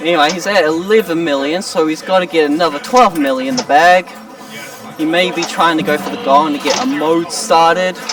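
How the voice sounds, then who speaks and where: Over background music, a man talks at a fairly quick pace with a high pitch and lively intonation. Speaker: pinball tournament commentator. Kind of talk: live commentary. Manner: casual, animated.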